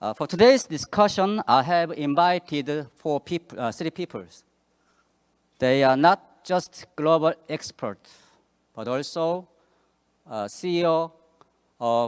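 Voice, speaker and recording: Very slow, lively speech from a man with a fairly high pitch, long and frequent pauses, and a dry, close sound with no echo. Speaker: forum moderator, institute CEO. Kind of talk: conference moderation. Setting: conference stage with audience. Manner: halting, many fillers.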